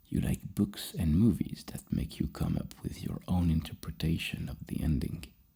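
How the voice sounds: A man's extremely low-pitched voice with a dark, mellow tone, a husky, rough edge and vocal fry, ordinary pitch variation and a moderate pace.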